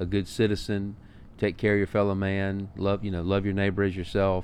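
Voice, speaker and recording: This man speaks at a fairly low pitch with a Southern US accent. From Alabama. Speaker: restaurant owner and podcast host. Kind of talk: casual chat.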